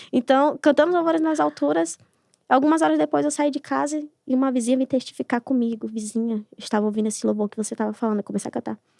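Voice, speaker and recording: A woman's high-pitched voice with a dark, mellow tone and very wide pitch swings, very fast, in a dry, close recording with no echo. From Brazil, Amazonas (Lábrea). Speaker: gospel singer. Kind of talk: podcast interview testimony.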